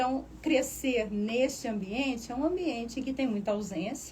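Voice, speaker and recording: Speaking at a moderate pace, a woman uses a fairly high pitch with ordinary pitch variation, and audible room echo surrounds her. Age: 60s. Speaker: university professor and administrator. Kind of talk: radio interview.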